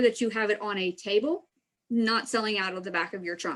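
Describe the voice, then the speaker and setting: Speaking at a moderate pace, a woman has a fairly high pitch. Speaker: extension trainer. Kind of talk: training presentation. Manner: animated.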